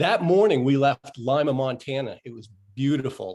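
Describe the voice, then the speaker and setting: A man talks at a medium pitch and a moderate pace, with ordinary pitch variation. His is an unremarkable speaking voice. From Maine, US. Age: 60s. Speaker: motorcycle rider. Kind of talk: casual interview.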